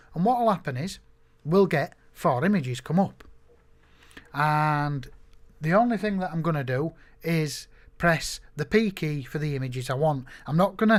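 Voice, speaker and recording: In a very clean recording with a silent background, a man with a normal speaking voice and a fairly high pitch talks at a moderate pace with lively intonation. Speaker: photographer teaching software. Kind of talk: screen-recorded tutorial. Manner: casual, conversational with fillers.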